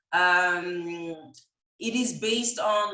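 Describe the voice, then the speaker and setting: A woman's bright, sharp voice with ordinary pitch variation and audible room echo. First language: not English. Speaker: image consultant and stylist. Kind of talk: live Q&A interview. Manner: halting, many fillers.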